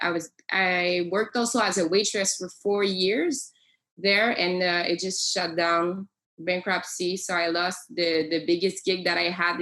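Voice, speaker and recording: The speaker has a French accent and talks at a fairly slow pace. Intonation stays fairly even. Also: woman. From Quebec. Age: 20s. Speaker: professional singer. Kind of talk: casual interview chat. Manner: halting.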